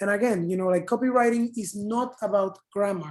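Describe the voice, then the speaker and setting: With a Spanish accent, a woman speaks in a dark, mellow tone and fairly even intonation. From Panama. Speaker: advertising copywriter. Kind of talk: panel talk in online open house.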